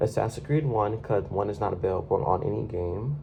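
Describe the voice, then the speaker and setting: There is noticeable background noise behind the speaker. He is a man with a fairly low pitch and lively intonation. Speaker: gaming YouTuber. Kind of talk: casual chat. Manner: halting.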